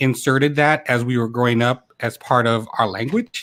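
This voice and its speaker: A man with an American accent at medium pitch and moderate pace, in a dry, close sound with no echo. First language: Ilocano. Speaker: YouTube creator, show host. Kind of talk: casual chat. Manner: animated.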